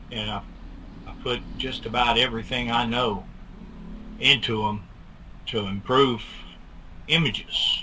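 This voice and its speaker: Slight pauses are long and frequent as a man talks at a fairly slow pace with medium pitch and fairly even intonation. Audible room echo surrounds his voice. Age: 60s. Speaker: bigfoot film researcher. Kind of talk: interview. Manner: halting.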